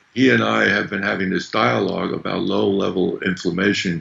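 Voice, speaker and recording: A man talks with vocal fry at a very deep, low pitch. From Germany. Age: 60s. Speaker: chemist and company executive. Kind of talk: interview.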